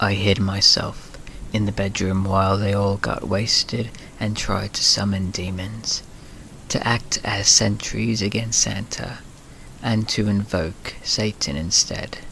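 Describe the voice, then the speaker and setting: With vocal fry and a monotone, flat intonation, a man speaks at a fairly slow pace in a fairly low pitch. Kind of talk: sleep story, scary story reading.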